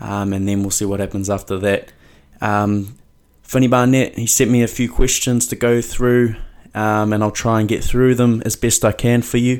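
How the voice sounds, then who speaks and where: In a New Zealand accent, a man at a medium pitch speaks at a moderate pace with monotone, flat intonation, on a very clean recording with a silent background. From New Zealand (Mount Maunganui). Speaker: rugby player. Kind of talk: casual monologue.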